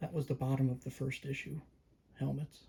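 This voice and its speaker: Soft-spoken and somewhat breathy, a man with a medium pitch talks in a calm tone, his dark, mellow voice keeping a fairly even intonation. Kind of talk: casual talk to camera, toy review. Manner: soft-spoken, calm.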